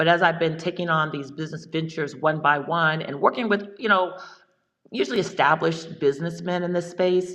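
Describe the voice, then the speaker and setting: The speaker is a woman with a fairly low pitch. She keeps a moderate pace. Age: 60s. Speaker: farmer and business executive. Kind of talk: casual chat. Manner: halting.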